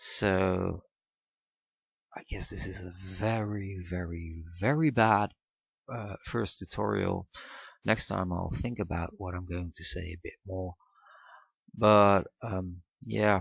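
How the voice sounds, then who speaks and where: Speaking with a Dutch accent, a man talks at a very slow pace with long, frequent pauses, his very deep, low voice somewhat breathy and showing ordinary pitch variation. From Netherlands. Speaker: software tutorial maker. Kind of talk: tutorial. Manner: halting, many fillers.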